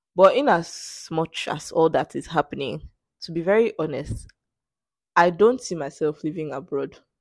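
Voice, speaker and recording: A woman with a fairly low pitch and vocal fry speaks at a moderate pace. Her loudness swings widely against a quiet background. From Nigeria. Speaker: podcast host. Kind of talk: solo podcast monologue. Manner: casual, laughing often.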